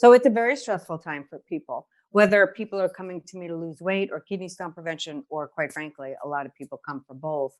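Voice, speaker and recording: With a New York accent and an animated tone, a woman speaks at a fairly quick pace, her pitch fairly low and her loudness swinging widely, with hardly any pauses. The sound is dry and close with no echo against a quiet background. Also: lively intonation. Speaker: nurse, kidney stone diet educator. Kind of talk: podcast chat, health advice. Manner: animated, conversational.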